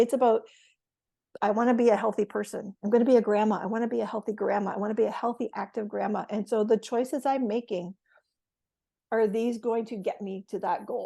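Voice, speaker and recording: A woman with a Canadian accent, fairly high pitch, dark and mellow tone, monotone and flat intonation, fairly quick pace. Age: 60s. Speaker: retired educator. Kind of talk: casual chat. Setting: podcast.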